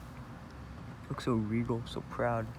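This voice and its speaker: This man speaks with a fairly low pitch. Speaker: reptile podcast host. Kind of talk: casual educational talk to camera. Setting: home recording with AC noise. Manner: casual, chatty.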